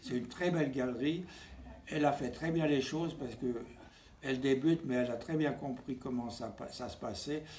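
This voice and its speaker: At a moderate pace, a man with a medium pitch speaks amid audible room echo. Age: 90s. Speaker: painter. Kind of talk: interview. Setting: at home. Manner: halting.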